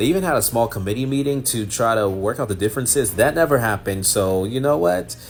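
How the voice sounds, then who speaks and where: Music plays in the background as the speaker talks very fast with lively intonation. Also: man, medium pitch for a man. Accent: American. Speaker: news anchor. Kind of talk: news explainer video.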